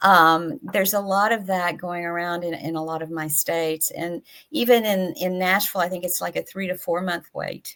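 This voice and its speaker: A woman with a Tennessee accent speaks at a moderate pace, her pitch medium and its variation ordinary. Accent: Southern US (Tennessee). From US South, East Tennessee. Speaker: patient advocacy nonprofit director. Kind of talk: panel discussion.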